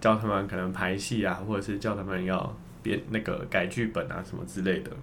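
A man is speaking. Room echo is audible. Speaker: former student drama group leader. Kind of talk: casual chat.

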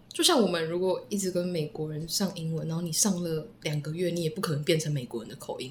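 There is noticeable background noise. Over it, a woman talks at a very fast pace. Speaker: former language school student. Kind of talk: casual interview chat.

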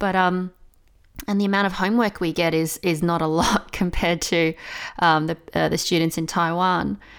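Recorded very cleanly against a silent background, a woman speaks at a moderate pace and fairly low pitch with an Australian accent. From Australia, Melbourne. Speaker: English teacher. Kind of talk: casual interview chat.

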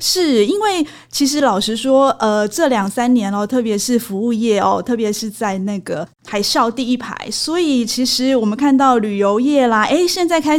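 With a Taiwanese accent, the speaker keeps a moderate pace with hardly any pauses and ordinary pitch variation. Noticeable background noise is present. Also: woman. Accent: Taiwanese Mandarin. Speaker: magazine editor and podcast co-host. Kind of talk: casual business discussion.

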